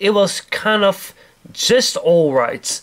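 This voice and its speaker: A man keeps ordinary pitch variation while talking very slowly. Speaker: toy collector reviewer. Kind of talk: product review. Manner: hesitant, many fillers.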